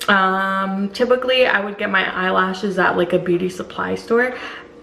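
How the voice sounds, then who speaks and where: A medium-pitched woman's voice over noticeable background noise. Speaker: vlogger. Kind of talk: casual vlog. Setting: at home, kitchen. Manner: casual, filler-heavy.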